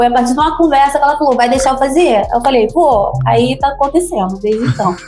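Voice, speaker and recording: Music plays in the background as a woman speaks at a very fast pace in a high pitch. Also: ordinary pitch variation, very even loudness. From Baixada Fluminense, Rio de Janeiro, Brazil. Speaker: rapper and singer. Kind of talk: interview.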